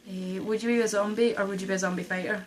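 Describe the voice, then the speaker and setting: A woman talks with a Scottish accent at a medium pitch. Her intonation is lively. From Scotland. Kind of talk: casual talk to camera.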